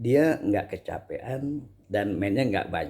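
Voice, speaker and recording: A man speaks at a very slow pace. The recording is very clean, with a silent background. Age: 60s. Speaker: Islamic preacher and table tennis player. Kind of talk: casual advice monologue. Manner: halting, many fillers.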